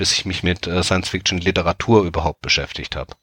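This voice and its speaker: Recorded dry and close with no echo, a man with a very deep, low voice speaks at a fairly quick pace with fairly even intonation. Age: 30s. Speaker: anthology editor. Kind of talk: casual chat.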